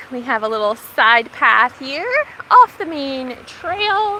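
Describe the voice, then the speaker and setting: A woman's high voice swings very widely in pitch. Noticeable background noise runs behind her. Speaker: gardening vlogger. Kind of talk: live walking vlog. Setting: outdoors, forest park. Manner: soft-spoken.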